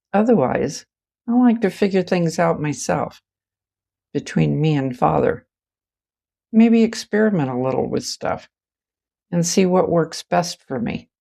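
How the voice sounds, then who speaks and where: A woman speaks fairly slowly with a fairly low pitch and a dark, mellow tone, her intonation lively and broken by long, frequent pauses, in a very clean recording with a silent background. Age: 70s. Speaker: writer sharing personal stories. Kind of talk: personal storytelling monologue.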